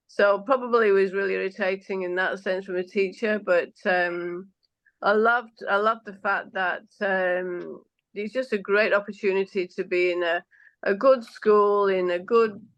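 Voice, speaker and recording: Here is a woman with a medium-pitched voice. Her intonation stays fairly even. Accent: strong Manchester. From northern England (Manchester, Yorkshire Dales). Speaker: politician. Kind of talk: interview. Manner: normally very fast, moderated here.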